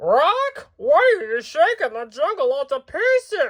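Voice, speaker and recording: In a put-on character voice, a man speaks at an extremely high pitch with very wide pitch swings. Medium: read story. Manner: saucy, squawking.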